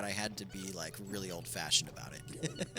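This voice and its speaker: Background music runs throughout. A man speaks fairly quickly over it. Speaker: video game streamer. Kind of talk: live gameplay stream chat. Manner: casual, hesitant with many fillers; mumbling a little.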